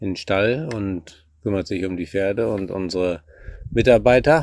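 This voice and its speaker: On a very clean recording with a silent background, a man speaks very slowly in a very deep, low voice. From Germany, Münsterland (Warendorf). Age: 40s. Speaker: eventing rider and national youth coach. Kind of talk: casual interview. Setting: at the family farm.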